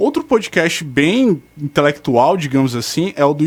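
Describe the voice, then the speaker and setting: A man speaks with very wide pitch swings. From Fortaleza, Ceará, Brazil. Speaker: radio show contributor. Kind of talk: radio talk show segment.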